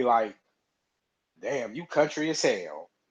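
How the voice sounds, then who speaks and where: A man speaks with an American accent. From US South. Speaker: live stream host. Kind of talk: casual chat. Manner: halting, repeats words.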